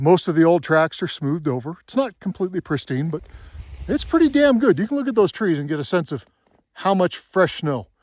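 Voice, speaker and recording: Speaking at a fairly quick pace, a man with a high voice swings his pitch very widely in a very clean recording with a silent background. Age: 60s. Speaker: snowmobile vlogger. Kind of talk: casual rant to camera. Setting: outdoors on a mountain. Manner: animated.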